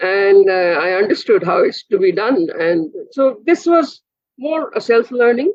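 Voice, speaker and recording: Fairly high in pitch, a woman speaks with a Bengali accent. Her pace is fairly slow, with very wide pitch swings. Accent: Indian English, Bengali. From India, Kolkata. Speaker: physicist, professor. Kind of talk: interview conversation.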